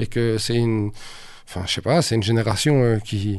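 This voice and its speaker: Moderate pace from a man against a quiet background. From Brussels, Belgium (Saint-Josse). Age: 40s. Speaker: rapper. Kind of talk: casual interview.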